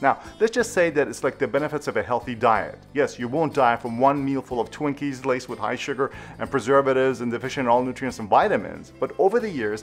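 A man talks at a very fast pace with ordinary pitch variation while faint music plays in the background. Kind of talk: educational commentary to camera.

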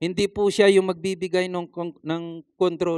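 A man with a high-pitched voice speaks against a quiet background, the sound dry with no echo. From Philippines. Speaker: preacher. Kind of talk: sermon. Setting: church. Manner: formal; earnest. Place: church. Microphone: handheld.

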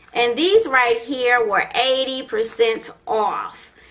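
A woman speaks at a very slow pace in a raised, projected voice with a bright, sharp tone. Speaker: beauty vlogger. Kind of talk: casual haul vlog chat. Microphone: phone near.

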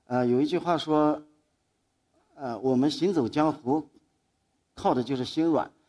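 Over a quiet background, a man with a fairly high pitch and a dark, mellow tone speaks at a fairly slow pace. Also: ordinary pitch variation. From Anhui, Dingyuan county (Chuzhou); Anhui. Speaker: photographer. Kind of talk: public talk. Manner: halting. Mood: calm, reflective, lightly humorous. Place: stage. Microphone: headset.

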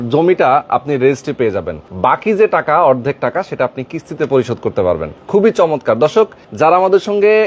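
Recorded dry and close with no echo, a man's voice swings very widely in pitch. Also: fairly high pitch for a man. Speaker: property video presenter. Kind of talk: promotional walkthrough and interviews. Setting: outdoors at a land project.

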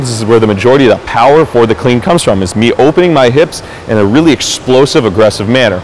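Over light background noise, a man talks with ordinary pitch variation. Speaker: fitness instructor. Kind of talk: tutorial; coaching cues. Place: gym.

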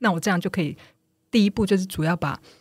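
On a very clean recording with a silent background, a woman's somewhat breathy voice moves with ordinary pitch variation. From Taiwan. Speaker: nonprofit manager and author. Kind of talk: podcast interview.

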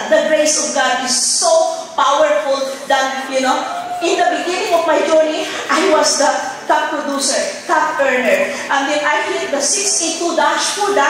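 Amid strong room echo and light background noise, a woman talks at a fairly slow pace and high pitch with fairly even intonation. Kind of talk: acceptance speech. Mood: emotional, fervent, religious. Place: stage.

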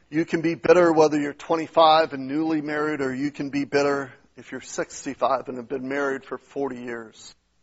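A man speaks at a moderate pace with hardly any pauses, his fairly high pitch held in a monotone, flat intonation against a quiet background. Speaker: pastor. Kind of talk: sermon. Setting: church. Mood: earnest, exhorting. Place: church.

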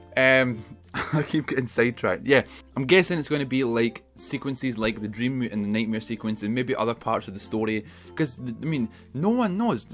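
Over faint music in the background, a man with a Scottish accent talks at a fairly quick pace with ordinary pitch variation. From Scotland. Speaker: gaming YouTuber. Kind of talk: casual talk to camera. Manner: excited, chatty. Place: home room.

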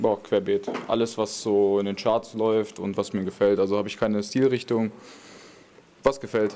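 A man speaks at a moderate pace in a fairly low, dark, mellow voice with monotone, flat intonation. Light background noise runs underneath. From Lower Saxony, Germany (Wolfsburg area); Lower Saxony. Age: 20s. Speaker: professional footballer; guest. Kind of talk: question-and-answer interview with young fans. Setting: stadium fan area before a match. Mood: relaxed, friendly. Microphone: handheld.

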